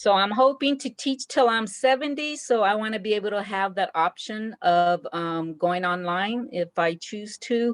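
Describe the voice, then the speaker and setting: A woman speaks at a fairly slow pace in an ordinary speaking voice. Her pitch varies an ordinary amount, and the sound is dry and close with no echo. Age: 60s. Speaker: art teacher and graduate student. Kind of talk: class introduction.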